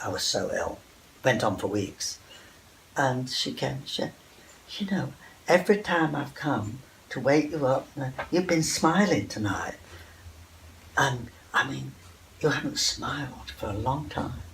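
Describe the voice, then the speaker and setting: Against noticeable background noise, a man with a fairly high pitch and lively intonation talks at a fairly slow pace, pausing long and often. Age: 80s+. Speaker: textile artist. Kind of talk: interview.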